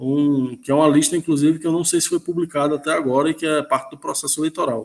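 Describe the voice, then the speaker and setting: A man's fairly high voice at a fairly quick pace, in a very clean recording with a silent background. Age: 30s. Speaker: football commentator. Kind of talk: casual football discussion. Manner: halting, repeats words.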